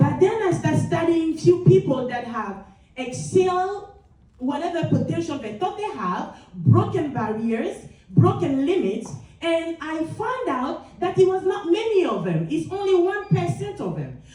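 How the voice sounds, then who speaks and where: A high-pitched woman with a French accent speaks at a fairly slow pace in an energetic tone, with very wide pitch swings and big swings in loudness. Room echo is audible. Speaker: motivational speaker, nurse executive. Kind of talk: motivational speech. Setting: stage with audience.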